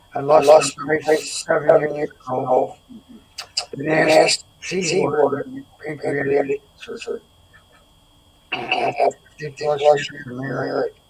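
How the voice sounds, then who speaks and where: Speaking at a very slow pace with long, frequent pauses, a man uses a fairly high pitch and fairly even intonation over noticeable background noise. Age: 70s. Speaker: wellness product seller. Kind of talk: interview. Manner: halting.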